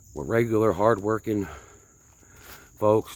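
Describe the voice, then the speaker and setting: A man of fairly low pitch with a northern US accent. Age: 50s. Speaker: vlogger. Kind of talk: casual vlog monologue while hiking. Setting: outdoors on hiking trail.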